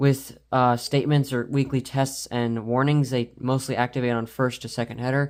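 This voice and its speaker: A man speaks at a moderate pace in a flat, monotone voice. The recording is very clean, with a silent background. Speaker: collector showing his collection. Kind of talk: casual show-and-tell video. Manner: stutters at times, filler words.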